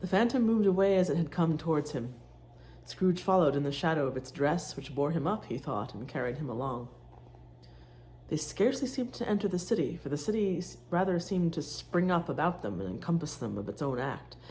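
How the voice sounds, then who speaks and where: Her pitch is very deep and low, and this woman's voice has a dark, mellow tone with vocal fry. She talks at a fairly quick pace, her pitch swinging very widely. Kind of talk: audiobook reading. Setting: home, cooking sounds in background.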